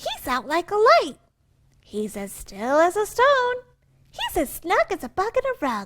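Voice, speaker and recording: A squeaky, put-on character voice at a fairly slow pace, with very wide pitch swings. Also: woman, extremely high pitch for a woman. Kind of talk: picture-book read-aloud. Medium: read story.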